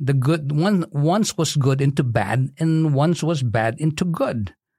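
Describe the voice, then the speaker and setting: On a very clean recording with a silent background, a man speaks at a fairly slow pace in a fairly high pitch. His voice is somewhat breathy, with ordinary pitch variation. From Philippines. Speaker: physical therapist and community leader. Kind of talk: interview.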